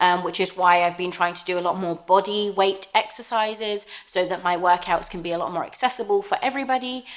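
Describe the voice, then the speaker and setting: In an English accent, a woman at a medium pitch talks at a fairly quick pace with ordinary pitch variation, hardly any pauses and big swings in loudness. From southern England, Southampton. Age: 30s. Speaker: fitness YouTuber. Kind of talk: casual Q&A vlog. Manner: hesitant, many fillers.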